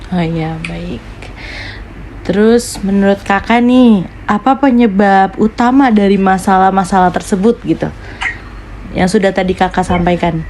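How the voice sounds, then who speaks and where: A woman speaks at a fairly slow pace in a medium pitch with ordinary pitch variation, over noticeable background noise. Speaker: university student interviewer. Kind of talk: interview. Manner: formal.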